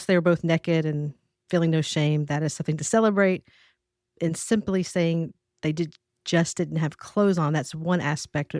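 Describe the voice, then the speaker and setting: The recording is very clean with a silent background, and the sound is dry and close with no echo. A woman with a Southern US accent speaks at a fairly low pitch with fairly even intonation. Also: moderate pace. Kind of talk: teaching or preaching.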